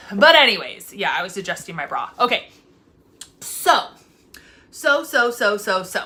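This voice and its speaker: Loud and animated, a woman speaks in a bright, sharp tone with very wide pitch swings. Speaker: foster parent vlogger. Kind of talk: casual vlog monologue.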